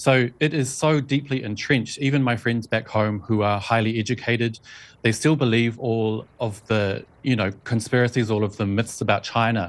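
The speaker has a New Zealand accent and a moderate pace, with fairly even intonation and very even loudness. The recording is very clean, with a silent background. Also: man, medium pitch for a man. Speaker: journalist and video blogger. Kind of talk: interview.

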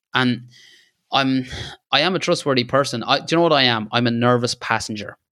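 A man's medium-pitched voice with an Irish accent at a fairly quick pace, dry and close with no echo. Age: 30s. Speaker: landscape photographer. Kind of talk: casual interview chat.

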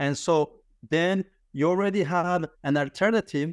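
A man's high voice with a French accent, dry and close with no echo, on a very clean recording with a silent background. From France. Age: 50s. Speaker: business founder, credit card processing. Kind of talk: casual interview conversation. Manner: halting, with frequent repetitions and fillers.

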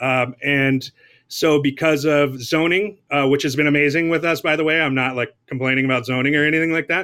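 With an American accent, a man has an unremarkable speaking voice, a fairly high pitch, fairly even intonation and a fairly quick pace. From Southern California. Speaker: chef and restaurant owner. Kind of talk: casual interview.

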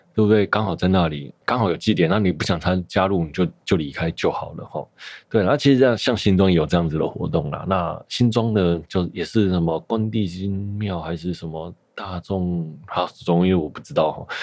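This man's very deep, low pitch varies in an ordinary way as he talks at a fairly quick pace against a quiet background. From Taiwan, Taipei (Shida area). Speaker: podcast host. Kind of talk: casual solo monologue. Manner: casual, many fillers and hesitations.

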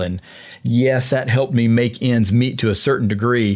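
In a Southern US accent, a man speaks at a moderate pace against a quiet background. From US South, Georgia. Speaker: sports podcast host. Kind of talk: interview.

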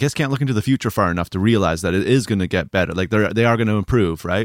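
Pitched fairly low, a man speaks with ordinary variation in pitch. The recording is very clean with a silent background. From Canada. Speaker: mastering engineer and co-host. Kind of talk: casual podcast conversation.

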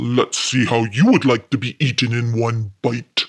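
Using a put-on gruff character voice at a medium pitch, a man talks at a moderate pace.

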